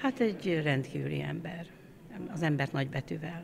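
A woman's very deep, low voice with vocal fry, at a moderate pace, over light background noise. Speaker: choir conductor. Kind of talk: interview. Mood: warm, reflective. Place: church. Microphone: handheld.

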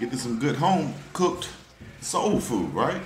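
A man speaks at a moderate pace with noticeable background noise around him. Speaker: food vlogger. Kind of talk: casual vlog chat. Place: cafe. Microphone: phone near.

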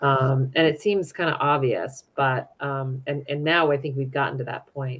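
At a fairly slow pace, a woman speaks in a very deep, low voice with fairly even intonation. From US West, Utah (Salt Lake City); Utah. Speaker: nonprofit program director; guest. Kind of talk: interview conversation. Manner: hesitant, many fillers. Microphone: video call.

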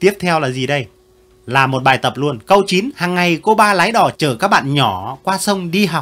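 A man with a high pitch and a bright, sharp tone speaks at a fairly slow pace with very wide pitch swings. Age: 70s. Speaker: retired teacher reviewing pupils' essays. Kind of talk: casual commentary reading out pupils' work. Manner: animated, laughing.

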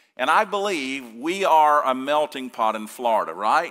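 Against a quiet background, a man talks at a fairly slow pace. His tone is bright and sharp, with lively intonation. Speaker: pastor. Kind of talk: sermon. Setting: church. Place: church. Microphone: lapel.

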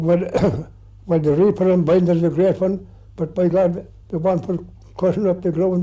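A man speaks at a moderate pace in a high pitch with a dark, mellow tone. His intonation is monotone and flat, and the background is quiet. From Ireland. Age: 80s+. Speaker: farmer. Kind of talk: interview answer. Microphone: old recording.

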